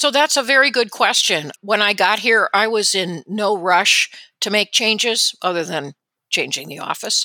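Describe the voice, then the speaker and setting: With a US Midwestern accent, a woman speaks at a moderate pace and medium pitch, using lively intonation and a bright, sharp tone. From Indiana, US Midwest (South Bend). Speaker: radiologist and medical board executive. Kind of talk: interview.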